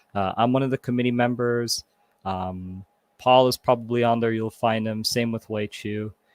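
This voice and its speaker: Here a man with a Canadian accent and an unremarkable speaking voice talks at a moderate pace and medium pitch, his intonation fairly even and the sound dry and close with no echo. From Toronto, Canada. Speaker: community repair volunteer. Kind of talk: panel interview.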